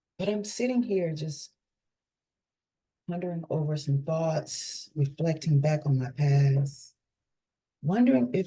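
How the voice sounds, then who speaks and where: This woman's pitch is very deep and low, and her tone is dark and mellow. Her voice is somewhat breathy. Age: 50s. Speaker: holistic life coach. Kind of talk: casual monologue vlog.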